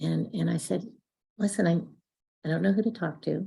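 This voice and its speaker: A woman's dark, mellow voice with vocal fry. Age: 60s. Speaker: twelve-step meeting speaker. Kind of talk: testimony.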